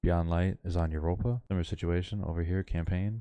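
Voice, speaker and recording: A man speaks with a very deep, low voice and a dark, mellow tone. His intonation stays fairly even at a moderate pace against a quiet background. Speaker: gaming youtuber. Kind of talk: gameplay commentary. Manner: monotone.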